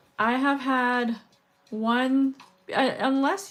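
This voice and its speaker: A woman speaks loudly. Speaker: beadwork streamer. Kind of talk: casual livestream chat. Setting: livestream.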